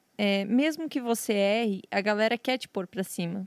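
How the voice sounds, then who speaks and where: In a very clean recording with a silent background and a dry, close sound with no echo, a woman with a normal speaking voice talks at a medium pitch and a fairly slow pace. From western Santa Catarina, Brazil. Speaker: professional poker player and streamer. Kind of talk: casual chat.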